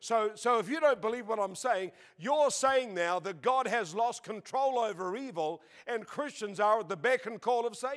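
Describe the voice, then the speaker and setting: In a very clean recording with a silent background, a high-pitched man with an Australian accent speaks at a moderate pace with ordinary pitch variation. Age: 70s. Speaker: preacher. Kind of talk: sermon.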